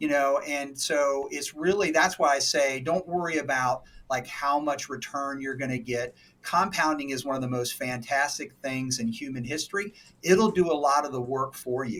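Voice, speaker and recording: A man speaks in a normal speaking voice with a fairly high pitch. His pace is moderate, and his pitch variation is ordinary. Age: 60s. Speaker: financial advisor. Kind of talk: casual interview.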